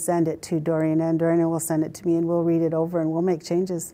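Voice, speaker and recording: A woman speaks with a southern Utah accent. Her tone is dark and mellow, and her pitch sits fairly low. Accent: Western US, southern Utah. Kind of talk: oral history interview, personal storytelling. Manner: reflective, conversational, unhurried, halting with fillers and repeated words. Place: office. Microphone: lapel.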